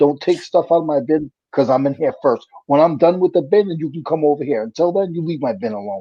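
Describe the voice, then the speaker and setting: Speaking very fast with hardly any pauses, a man with a New England accent uses lively intonation at a fairly high pitch. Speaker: reseller. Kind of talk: casual chat.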